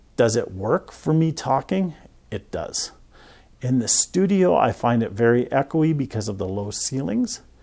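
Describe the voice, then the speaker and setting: A soft-spoken man with a Canadian accent talks at a medium pitch in a dark, mellow tone. His pace is fairly slow, and his pitch swings very widely. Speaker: professional photographer. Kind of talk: tutorial. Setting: studio.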